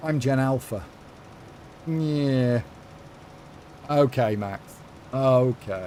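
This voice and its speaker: A man speaks with an English accent at a very slow pace. His pitch is medium, with ordinary variation. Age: 50s. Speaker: gaming live streamer. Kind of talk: live stream chat while gaming. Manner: animated.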